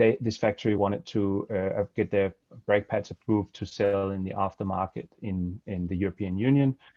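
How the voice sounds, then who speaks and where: A man with a Danish accent talks at a fairly quick pace. His pitch is fairly low, with ordinary variation. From Denmark. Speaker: supply chain compliance consultant. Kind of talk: webinar presentation. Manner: halting, many fillers.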